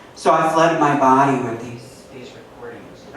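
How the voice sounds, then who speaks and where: There is noticeable background noise and audible room echo. A man speaks at a moderate pace with ordinary pitch variation. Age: 50s. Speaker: poet. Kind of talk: poetry reading. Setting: stage with audience.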